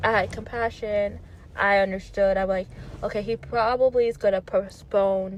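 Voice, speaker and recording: This woman's fairly high voice comes at a fairly slow pace. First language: not English. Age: 30s. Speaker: pop culture vlogger. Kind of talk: casual commentary. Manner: halting, many fillers.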